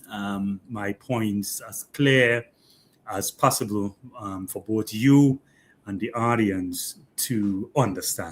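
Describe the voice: Slowly, a man speaks with fairly low pitch and ordinary pitch variation.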